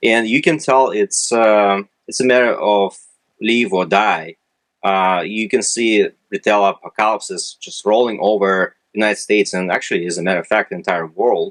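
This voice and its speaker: A man with a Russian accent speaks at a fairly low pitch, recorded dry and close with no echo. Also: ordinary pitch variation, moderate pace. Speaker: retail analytics company representative. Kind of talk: interview. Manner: hesitant, many fillers.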